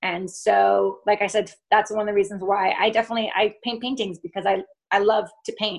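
Someone with an American accent speaks at a moderate pace. The background is quiet. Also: woman. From US Northeast (Vermont). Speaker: artist. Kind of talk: interview. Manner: animated.

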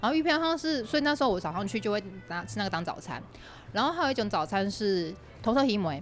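Her voice medium in pitch and marked by vocal fry, a woman talks at a very fast pace with very wide pitch swings. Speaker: podcast host, guest on another show. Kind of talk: casual chat. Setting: cafe.

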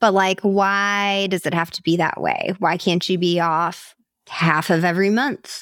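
A woman's medium-pitched voice, an ordinary speaking voice, at a fairly slow pace in a very clean recording with a silent background. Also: fairly even intonation. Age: 30s. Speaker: podcast co-host. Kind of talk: casual chat.

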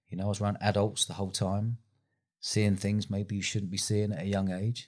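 A man with a London accent talks at a fairly quick pace with fairly even intonation. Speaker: festival founder and entrepreneur. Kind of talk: interview.

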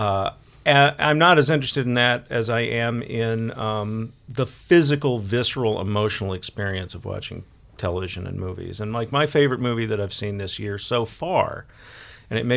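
With an ordinary speaking voice, a man with an American accent talks at a fairly quick pace in a medium pitch with ordinary pitch variation, on a very clean recording with a silent background. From Texas, Dallas. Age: 50s. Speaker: television and film critic. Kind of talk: casual interview chat.

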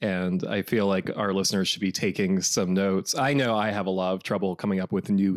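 A man with a fairly low pitch and fairly even intonation has an ordinary speaking voice, captured in a very clean recording with a silent background. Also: dry, close sound with no echo. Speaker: podcast host. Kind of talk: scripted intro and casual chat.

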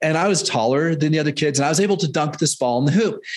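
With a Canadian accent, a man speaks in a plain, everyday voice at a fairly high pitch with lively intonation. The background is quiet. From Canada. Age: 50s. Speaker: fitness and nutrition coach. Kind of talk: interview conversation.

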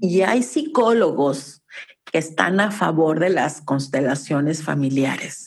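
A woman is speaking. Her pace is very slow. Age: 50s. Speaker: family constellation therapist. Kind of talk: casual interview.

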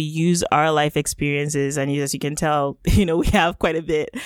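Over a dry, close sound with no echo, a woman with a Yoruba accent speaks fairly quickly at a very deep, low pitch, her intonation monotone and flat. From Nigeria (Lagos). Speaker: economist and podcaster. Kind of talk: interview conversation. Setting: remote call.

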